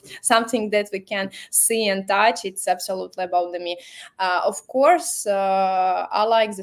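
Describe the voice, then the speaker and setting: In a very clean recording with a silent background, a woman with a Latvian accent speaks at a medium pitch and a fairly slow pace. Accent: Russian-speaking Latvian accent in English. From Latvia (Riga). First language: Russian. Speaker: marketing professional, company founder. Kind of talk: interview. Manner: halting, non-fluent English with many fillers.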